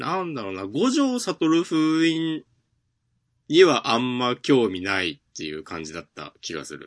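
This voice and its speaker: This man's voice sits at a medium pitch and moves at a fairly slow pace, with very wide pitch swings and big swings in loudness. The background is quiet. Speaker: manga podcast co-host. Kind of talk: casual chat.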